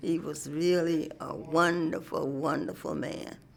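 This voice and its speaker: A woman's voice over noticeable background noise. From Alabama. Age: 80s+. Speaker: civil rights veteran. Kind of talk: interview.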